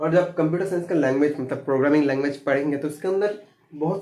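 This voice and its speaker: A man speaks with a Bengali accent at a moderate pace. His pitch is fairly high, with ordinary variation. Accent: Bengali-accented Hindi. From Bengal, India. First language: Bengali (speaking Hindi). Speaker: computer science teacher. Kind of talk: lecture. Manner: halting, with fillers.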